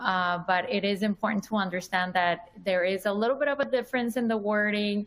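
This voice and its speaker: A woman speaks with a Colombian accent. She keeps a moderate pace and fairly even intonation. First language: Spanish. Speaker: dermatologist. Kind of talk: lecture.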